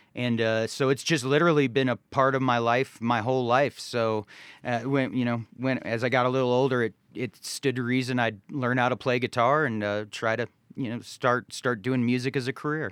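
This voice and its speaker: A man talks at a moderate pace with medium pitch and fairly even intonation. The recording is very clean, with a silent background. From Cleveland area, raised in Charlotte, North Carolina. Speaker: singer-songwriter. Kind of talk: interview. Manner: halting, many fillers and repeats.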